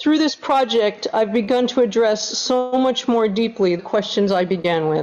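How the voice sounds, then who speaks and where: Using a normal speaking voice, a woman keeps a fairly high pitch and ordinary pitch variation. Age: 60s. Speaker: artist presenting at an academic forum. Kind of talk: prepared presentation. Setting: online forum. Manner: formal.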